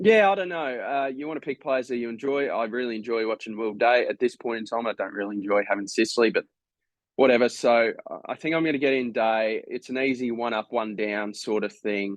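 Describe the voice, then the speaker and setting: At a fairly quick pace, a man with an Australian accent speaks in a medium pitch with ordinary pitch variation. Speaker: fantasy football content creator. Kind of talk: casual tutorial. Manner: halting, many fillers.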